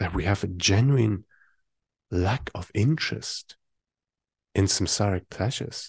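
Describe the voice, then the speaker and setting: A man talks at a fairly slow pace with a somewhat breathy voice. The sound is dry and close, with no echo and a quiet background. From Germany. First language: German. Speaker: Buddhist meditation teacher. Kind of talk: dharma talk.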